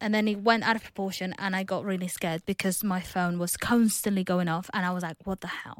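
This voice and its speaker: Against a silent background on a very clean recording, a woman speaks at a fairly quick pace in a monotone, flat intonation, the sound dry and close with no echo. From Spain, outskirts of Barcelona (Catalonia). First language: Spanish. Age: 20s. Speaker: office worker. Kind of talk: casual interview.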